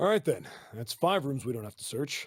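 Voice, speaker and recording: Using a put-on character voice, a man talks at a fairly quick pace in a raspy, fairly high pitch, with big swings in loudness. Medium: video game. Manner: casual, folksy.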